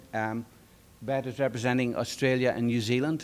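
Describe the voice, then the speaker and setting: A man with an Irish accent, medium pitch, and monotone, flat intonation. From Ireland. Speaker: conference presenter, organisation board chair. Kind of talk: conference talk. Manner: conversational with many fillers.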